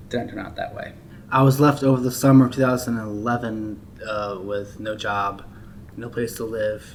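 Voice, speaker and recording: A man with an American accent talks at a moderate pace and medium pitch. There is noticeable background noise and audible room echo. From Maryland, US. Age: 20s. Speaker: formerly homeless person in recovery. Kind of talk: testimony.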